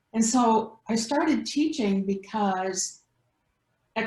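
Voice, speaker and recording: This woman's voice is fairly high and somewhat breathy. Her pitch varies in an ordinary way. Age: 70s. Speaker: counselor and healer. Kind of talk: interview.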